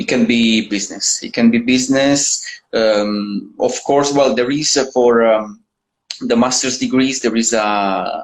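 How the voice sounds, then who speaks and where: A man with an Italian accent talks at a fairly slow pace, keeping a medium pitch and fairly even intonation. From Italy. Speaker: university admissions manager. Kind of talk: interview. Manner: hesitant, many fillers.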